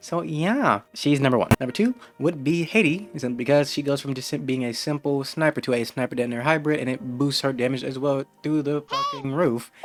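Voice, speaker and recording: A man at medium pitch and a fairly quick pace, with ordinary pitch variation and noticeable background noise. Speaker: gaming youtuber. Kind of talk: game guide commentary. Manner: casual, conversational.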